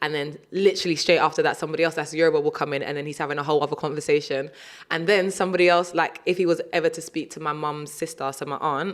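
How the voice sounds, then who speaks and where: A woman speaks with a strong British accent. Her pitch is very deep and low. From South East London. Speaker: DJ and radio presenter. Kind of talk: casual interview chat. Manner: animated, uses many fillers.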